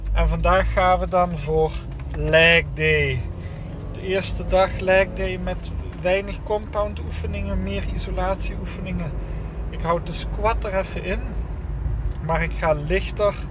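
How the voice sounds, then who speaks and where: A man talks at a very slow pace with long, frequent pauses. The sound is dry with no echo, though background noise is noticeable. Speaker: fitness vlogger. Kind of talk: casual vlog chat. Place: car. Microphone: phone near.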